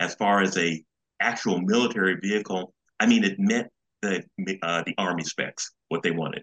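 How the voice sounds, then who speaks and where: A man with an American accent speaks at a moderate pace in an unremarkable speaking voice, his pitch fairly low and his intonation fairly even. The sound is dry and close, with no echo. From Los Angeles, California. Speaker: retired design engineer and author's son. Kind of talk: interview.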